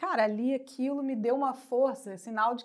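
Speaking with a Brazilian accent, a woman talks at a moderate pace in a high pitch. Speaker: actress and TV presenter. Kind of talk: casual interview. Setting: studio.

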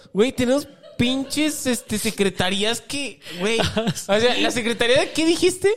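The speaker has a Mexican accent and lively intonation. The pace is fairly slow. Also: man, extremely high pitch for a man. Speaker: podcast co-host and musician. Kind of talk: casual comedic chat.

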